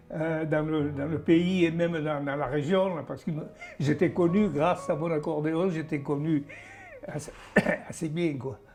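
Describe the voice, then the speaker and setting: The pace is fairly slow and the intonation fairly even. Noticeable background noise runs underneath. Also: man, fairly high pitch for a man. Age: 90s. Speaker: accordionist, WWII witness. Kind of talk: testimony.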